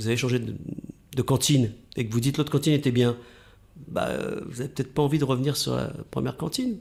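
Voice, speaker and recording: Talking at a very fast pace, a man sounds somewhat breathy. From northern France, Oise. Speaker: radio host. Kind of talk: interview.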